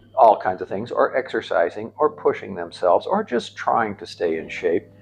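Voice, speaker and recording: A man talks at a moderate pace while music is heard in the background. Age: 60s. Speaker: gym member, older CrossFit athlete. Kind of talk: interview testimony. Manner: halting, many fillers.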